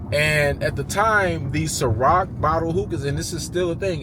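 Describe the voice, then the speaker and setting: A man talks at a moderate pace, his voice carrying audible room echo over noticeable background noise. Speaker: YouTuber, entrepreneur. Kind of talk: casual talking-head monologue.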